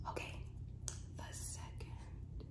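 A woman talks at a very slow pace while loud background noise fills the recording. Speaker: ASMR creator. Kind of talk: casual ASMR talk. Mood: calm, comforting. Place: home room. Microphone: phone near.

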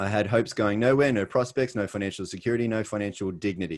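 Against a quiet background, a man with an Australian accent speaks at a fairly low pitch with ordinary pitch variation. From Australia, Sydney. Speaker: network marketing presenter. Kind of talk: webinar presentation. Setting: video call.

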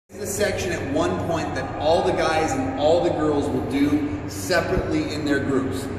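A man's voice carries strong room echo. Noticeable background noise sits behind it. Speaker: dance instructor. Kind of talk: instructional explanation. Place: hall. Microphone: camera far.

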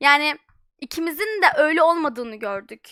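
A very clean recording with a silent background and lively intonation. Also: woman. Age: young. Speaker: streamer. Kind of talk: live stream chat.

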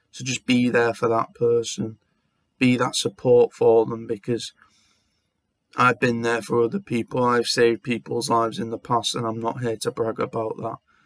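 Intonation is fairly even and the pace moderate. The sound is dry with no echo, over a quiet background. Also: man. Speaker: vlogger. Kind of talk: casual talk to camera. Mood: heartfelt, sincere, supportive. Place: home room. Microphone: webcam.

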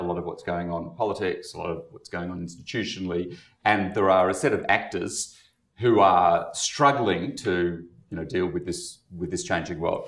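A man's fairly low voice at a fairly quick pace, with ordinary pitch variation, audible room echo and a quiet background. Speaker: activist organization leader; panelist. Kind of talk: panel discussion. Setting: stage with audience. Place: meeting room.

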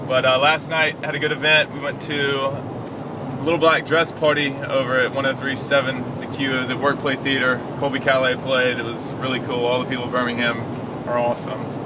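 Loud background noise sits under a dry, echo-free recording of a man speaking at a fairly quick pace. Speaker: tv personality vlogger. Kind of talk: casual vlog chat. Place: car. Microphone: phone near.

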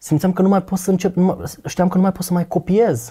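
Against a quiet background, a man speaks with a high pitch and a dark, mellow tone. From Romania, Botoșani; Romania. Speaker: guest sharing faith testimony; guest. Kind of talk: testimony in casual conversation. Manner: talkative. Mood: reflective, confessional. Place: studio. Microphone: lapel.

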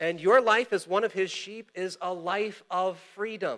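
The tone is bright and sharp. It moves at a very slow pace against a quiet background. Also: man. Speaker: pastor. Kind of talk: sermon. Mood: warm, encouraging. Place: church. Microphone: lapel.

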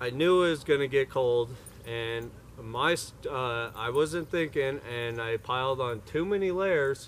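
Over light background noise, a man talks at a fairly slow pace with ordinary pitch variation. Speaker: solo camper vlogger. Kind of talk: casual vlog chat. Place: forest.

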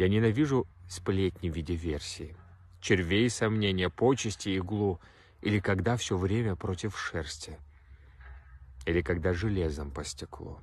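A man with a very deep, low voice speaks at a fairly slow pace, somewhat breathy, with ordinary pitch variation. He pauses long and often, and the sound is dry with no echo. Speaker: poetry reader. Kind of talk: poem reading. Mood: serious, intense. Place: open country. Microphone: phone near.

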